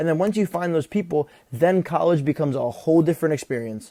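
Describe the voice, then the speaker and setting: At a fairly quick pace, a man with an unremarkable speaking voice talks at a fairly high pitch. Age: 20s. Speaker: account manager. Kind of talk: casual talk to camera.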